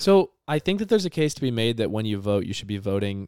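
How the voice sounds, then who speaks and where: A man speaks in a normal speaking voice at a fairly low pitch with ordinary pitch variation. The sound is dry and close, with no echo. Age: 20s. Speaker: podcast co-host. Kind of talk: casual chat.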